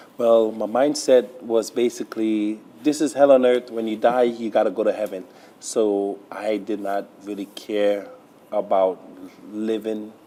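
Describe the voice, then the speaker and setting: A man speaks in a normal speaking voice at medium pitch. His intonation stays fairly even. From Trinidad, raised in Brooklyn, New York. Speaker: pastor. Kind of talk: interview testimony.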